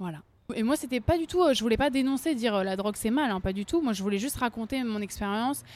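A woman talks at a very fast pace in a fairly high pitch. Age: 20s. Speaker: singer. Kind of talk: interview. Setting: café. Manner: talkative.

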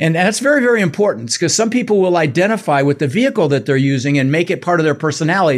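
On a very clean recording with a silent background, a man with a high pitch sounds animated and energetic, his pitch swinging very widely. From Netherlands-born, raised in Denver, US. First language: Dutch. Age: 60s. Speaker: real estate investor and coach. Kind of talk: interview, storytelling. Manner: animated, energetic.

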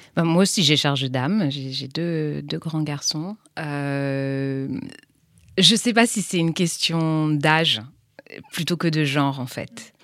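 A woman's very deep, low voice at a very slow pace, with ordinary pitch variation and long, frequent pauses. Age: 40s. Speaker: entrepreneur, founder of a women's intimate health platform. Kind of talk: interview. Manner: halting.

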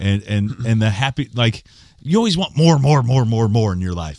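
In an unremarkable speaking voice with an American accent, a man talks fairly quickly at a fairly low pitch with lively intonation, in a dry, close sound with no echo on a very clean recording with a silent background. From southern Indiana, US. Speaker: country singer-songwriter. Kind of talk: casual interview chat. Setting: studio.

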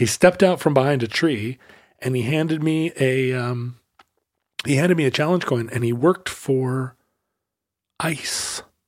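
At a moderate pace with long, frequent pauses, a man speaks at medium pitch with ordinary variation. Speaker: podcast host. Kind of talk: casual banter between co-hosts.

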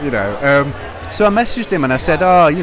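Lively intonation comes through against noticeable background noise. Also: man. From English Midlands, British Cypriot family. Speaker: independent publisher. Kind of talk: casual interview. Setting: live event at a book fair.

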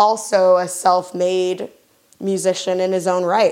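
At a very slow pace, a woman of medium pitch speaks with an American accent. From US South. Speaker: radio DJ. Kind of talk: casual radio show links. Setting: studio. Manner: animated.

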